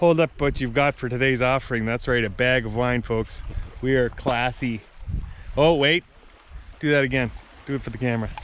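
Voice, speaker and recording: Against noticeable background noise, a man speaks at a fairly quick pace with fairly even intonation and long, frequent pauses. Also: medium pitch for a man. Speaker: vlogger filming family canoe trip. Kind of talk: casual vlog narration. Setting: outdoors.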